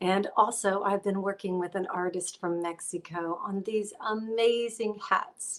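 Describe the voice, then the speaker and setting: This is a normal speaking voice with an American accent. It moves at a fairly slow pace with fairly even intonation. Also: woman. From Texas (San Antonio, Fredericksburg). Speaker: show host and country singer. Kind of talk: show hosting; reading a guest bio.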